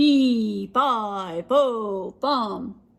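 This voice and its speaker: This female-sounding voice is a put-on character voice. It sits at a fairly high pitch. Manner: bawling, menacing.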